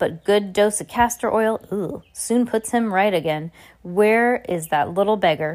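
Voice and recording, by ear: Reading aloud in a natural voice, the speaker's pitch varies in an ordinary way.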